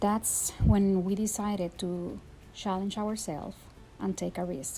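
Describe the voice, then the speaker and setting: A woman with a Puerto Rican accent speaks at a moderate pace and medium pitch, in monotone, flat intonation. Music plays in the background. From Puerto Rico. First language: Spanish. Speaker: teacher. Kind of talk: personal testimony.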